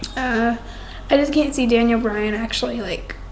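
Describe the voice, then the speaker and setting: A quiet woman's voice amid noticeable background noise and audible room echo. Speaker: wrestling fan vlogger. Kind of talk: casual webcam monologue. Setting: home at night, others asleep.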